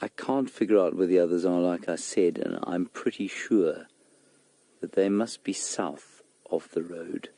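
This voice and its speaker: Quiet and dark-toned, a man speaks at a very deep, low pitch with ordinary pitch variation, his mellow voice captured dry and close with no echo. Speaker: safari guide. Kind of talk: live commentary. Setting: outdoors.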